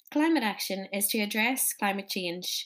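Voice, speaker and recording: With a Northern Irish accent, a woman of medium pitch talks at a moderate pace in a very clean recording with a silent background. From Northern Ireland. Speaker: podcast host. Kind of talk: scripted introduction.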